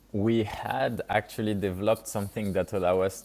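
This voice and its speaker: The intonation is flat and monotone, with a strong French accent. The pace runs fairly quick. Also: man. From France. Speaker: startup founder and CEO. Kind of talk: podcast interview.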